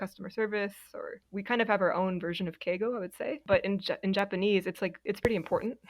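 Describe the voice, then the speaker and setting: Here a woman talks at a fairly quick pace. Her pitch is medium. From Oregon, US. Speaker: former translator and interpreter. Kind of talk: podcast interview.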